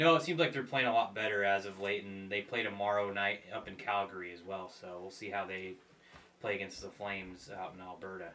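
In an ordinary speaking voice, the speaker goes at a fairly quick pace with ordinary pitch variation and big swings in loudness. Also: man, fairly low pitch for a man. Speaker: sports podcast host. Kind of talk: casual sports talk.

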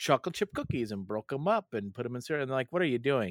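The recording is very clean with a silent background, dry and close with no echo. A man speaks at a medium pitch with very wide pitch swings. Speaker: podcast host. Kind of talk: casual chat.

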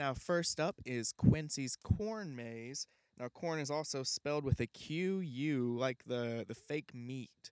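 A man's fairly high voice with ordinary pitch variation, very slow pace and a slight Southern US accent, on a very clean recording with a silent background. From Alabama. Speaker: comedy podcast host. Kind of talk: comedic late-night talk show monologue. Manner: jokey, animated.

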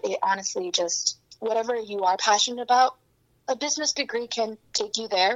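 This woman's voice sits at a fairly high pitch with ordinary pitch variation. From Hong Kong and Beijing, moved to US at 13. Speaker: business student and reseller. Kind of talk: interview conversation.

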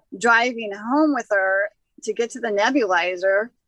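This is a woman with an ordinary speaking voice, pitched fairly high. She talks at a fairly slow pace with lively intonation. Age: 60s. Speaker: cannabis expert and healer. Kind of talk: casual chat.

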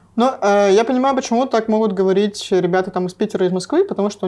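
A woman talks very fast with a dark, mellow tone and ordinary pitch variation. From Russia, Sverdlovsk region (Nevyansk). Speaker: music festival director. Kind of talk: casual interview.

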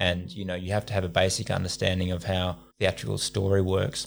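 With an Australian accent and fairly even intonation, a man speaks at a very deep, low pitch in a very clean recording with a silent background. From Central Australia (Alice Springs). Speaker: playwright, actor and rapper. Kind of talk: casual interview chat.

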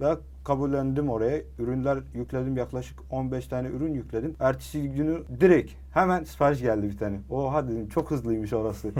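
With an Arabic accent, a man speaks at a moderate pace, hardly pausing at all. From Syria. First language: Arabic (speaking Turkish). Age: 20s. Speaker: online seller. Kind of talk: interview. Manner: halting.

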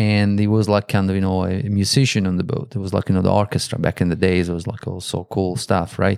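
A man with an Italian accent speaks at a very fast pace with hardly any pauses. His fairly low voice keeps a fairly even intonation. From Italy. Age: 50s. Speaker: guest interviewer. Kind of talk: casual chat.

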